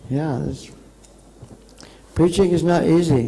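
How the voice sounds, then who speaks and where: A man at a moderate pace, ordinary pitch variation, and audible room echo. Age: 70s. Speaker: visiting monk giving a lecture. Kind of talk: lecture.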